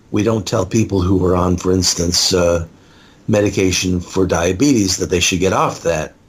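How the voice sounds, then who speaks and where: Very deep and low, the man's voice is somewhat breathy, with fairly even intonation. His loudness stays very even. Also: moderate pace. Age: 60s. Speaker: author and speaker on addiction recovery. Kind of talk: interview.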